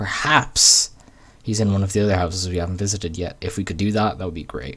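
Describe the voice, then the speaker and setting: A man's fairly low voice at a very fast pace. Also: ordinary pitch variation. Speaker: gaming YouTuber. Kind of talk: let's play commentary with reading aloud. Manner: slurred.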